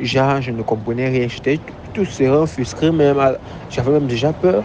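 A man speaks at a medium pitch and a moderate pace. His pitch varies in an ordinary way, with noticeable background noise. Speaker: barber. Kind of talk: testimony.

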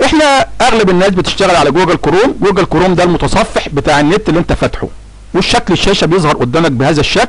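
Man with a high pitch, very fast pace, hardly any pauses, lively intonation and very even loudness, over noticeable background noise. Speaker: tax filing tutorial YouTuber. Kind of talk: tutorial.

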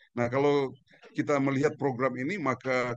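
The sound of this man's voice is dry with no echo, though noticeable background noise is present. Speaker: university lecturer in entrepreneurship; guest. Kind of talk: expert commentary. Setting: remote video call. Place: garden. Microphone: video call.

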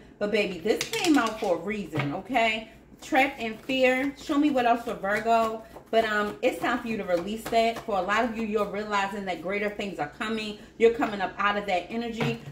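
Noticeable background noise sits behind a woman's voice. She speaks at a moderate pace with ordinary pitch variation. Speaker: tarot reader. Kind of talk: tarot reading to viewers. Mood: warm, encouraging. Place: home room.

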